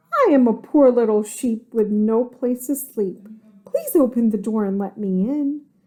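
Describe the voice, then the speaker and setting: A woman performs a put-on character voice. Her pace is moderate. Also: fairly high pitch for a woman. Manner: sweet, feigned innocence.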